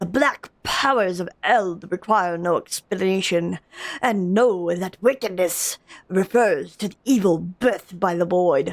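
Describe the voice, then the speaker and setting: A woman performs a put-on character voice. It sits at a medium pitch. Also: fairly slow pace, dry, close sound with no echo. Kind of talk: solemn fantasy oracle. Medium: game stream. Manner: grave, portentous.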